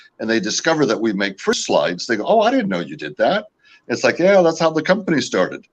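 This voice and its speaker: A man's very fast, fairly high voice with vocal fry, very wide pitch swings and an American accent. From California. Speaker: company founder and owner. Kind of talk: interview. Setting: live video show. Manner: hesitant, many fillers.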